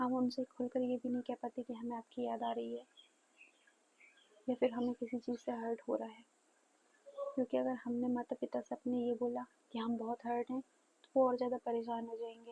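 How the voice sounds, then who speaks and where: A soft-spoken woman with a high pitch and monotone, flat intonation, in a dry, close sound with no echo. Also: moderate pace. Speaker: vlogger. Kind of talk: personal vlog. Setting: at home. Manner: soft-spoken, quiet.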